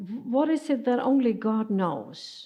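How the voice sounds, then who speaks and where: Lively intonation marks this voice. The speaker is a woman. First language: not English. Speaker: preacher. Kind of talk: sermon. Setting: church. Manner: halting.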